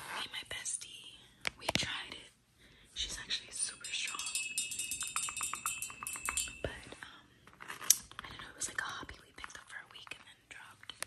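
A soft-spoken woman whispering at a moderate pace with long, frequent pauses over music in the background. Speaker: ASMR creator. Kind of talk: casual vlog chat. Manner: soft ASMR whisper, close to mic.

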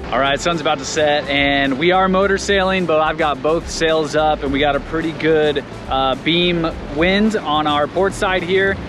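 Over clear background music, a man talks at a moderate pace with very even loudness and fairly even intonation, the sound dry with no echo. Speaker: sailor vlogger. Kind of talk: casual vlog chat. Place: boat. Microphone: phone near.

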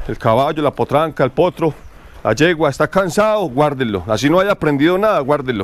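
A man talks at a fairly quick pace with lively intonation, and the sound is dry with no echo. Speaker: horse trainer. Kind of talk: outdoor training tutorial. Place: farm machine.

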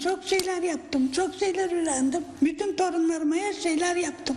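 A woman with an extremely high pitch and fairly even intonation talks against noticeable background noise. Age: 80s+. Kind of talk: interview answer.

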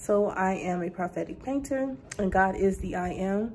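Her tone is dark and mellow, somewhat breathy, with ordinary pitch variation. The woman is heard over light background noise. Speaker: painter and vlogger. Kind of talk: casual vlog intro. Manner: casual, hesitant with filler words. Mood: warm, excited. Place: home room. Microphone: phone near.

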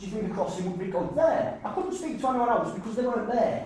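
The intonation is lively and the tone slightly mellow. A strong room echo surrounds the voice.

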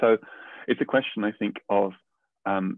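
Over a quiet background, a man talks at a moderate pace in a dry recording with no echo. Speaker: biologist and researcher; guest. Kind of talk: explaining science; interview answer. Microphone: video call.

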